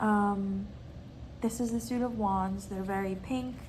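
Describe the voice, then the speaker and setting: A woman speaks at a fairly slow pace with fairly even intonation. Audible room echo surrounds her voice. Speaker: tarot reader and video creator. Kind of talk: casual show-and-tell vlog.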